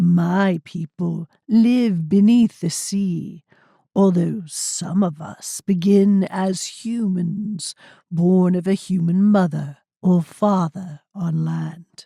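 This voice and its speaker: A woman puts on a croaky, raspy character voice. She speaks at a very slow pace. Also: medium pitch for a woman. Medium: read story. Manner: slow, forced human speech.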